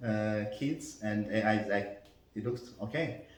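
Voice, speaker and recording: With audible room echo, this man delivers his words very slowly. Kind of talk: interview. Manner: halting, many fillers.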